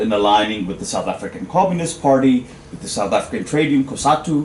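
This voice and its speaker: There is noticeable background noise. A man is talking over it. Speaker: academic audience member asking question. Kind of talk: panel discussion question. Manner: loud; halting, many fillers. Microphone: no microphone.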